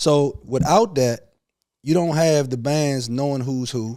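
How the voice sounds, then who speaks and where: Dark and mellow in tone, a man's medium-pitched voice carries an American accent. His intonation stays fairly even. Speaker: podcast host. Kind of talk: heated debate.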